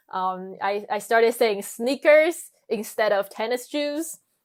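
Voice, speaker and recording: A woman with a Chinese accent speaks with lively intonation. The recording is very clean with a silent background. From China. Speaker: international student. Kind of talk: interview. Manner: hesitant, many fillers.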